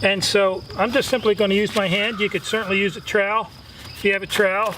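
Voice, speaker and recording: A man speaks very fast in a high, raised, projected voice with monotone, flat intonation over noticeable background noise. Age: 60s. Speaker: gardening channel host. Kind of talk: tutorial. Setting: outdoors. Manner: casual, filler-heavy.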